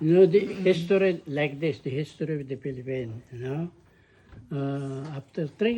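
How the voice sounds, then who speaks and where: A man's somewhat breathy voice with a dark, mellow tone, a fairly high pitch, ordinary pitch variation and a moderate pace. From Philippines, Ilocos Sur. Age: 80s+. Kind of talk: interview answer.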